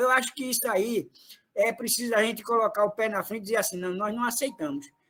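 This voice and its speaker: Raised and projected, a man's voice carries a bright, sharp tone. He sounds animated. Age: 60s. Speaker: retired trade unionist, party activist. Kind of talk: political meeting speech.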